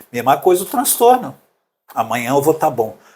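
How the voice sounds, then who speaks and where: This is a man whose voice sounds somewhat breathy. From Brazil, Paraná and Belo Horizonte. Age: 60s. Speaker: musician and preacher. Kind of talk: interview.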